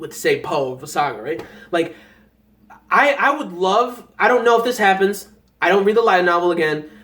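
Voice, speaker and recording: A man with a high pitch talks at a moderate pace, his tone excited and animated and his intonation lively. Long, frequent pauses break up his speech, and room echo is audible. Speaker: anime reaction youtuber. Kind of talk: casual review monologue. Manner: excited, animated; halting, stuttering.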